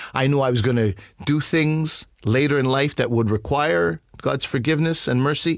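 On a very clean recording with a silent background, a man with a Canadian accent speaks at medium pitch and a moderate pace, with ordinary pitch variation, very even loudness and an unremarkable speaking voice. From Montreal, Quebec, Canada. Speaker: comedian. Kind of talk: casual chat.

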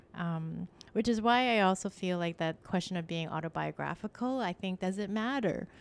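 In a Canadian accent, a woman speaks at a moderate pace and medium pitch, with ordinary pitch variation and an unremarkable speaking voice. The recording is very clean, with a silent background. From Canada, Scarborough, Toronto. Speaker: fiction writer and educator. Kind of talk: interview. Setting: on location at Scarborough campus.

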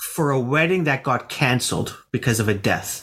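A man with a Canadian accent has an ordinary speaking voice at medium pitch. He talks at a fairly slow pace with ordinary pitch variation. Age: 40s. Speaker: interviewer. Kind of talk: casual chat.

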